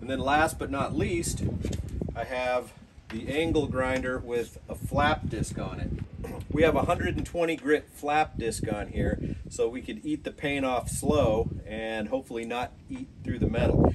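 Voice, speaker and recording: A man talks at a fairly slow pace with ordinary pitch variation. Loud background noise runs behind him. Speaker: restoration project host. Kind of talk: tutorial. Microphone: camera far.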